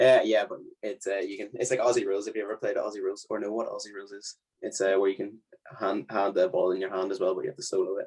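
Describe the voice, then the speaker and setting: Very fast speech with an Irish accent. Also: man. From Ireland, County Leitrim. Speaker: university student. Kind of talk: casual chat.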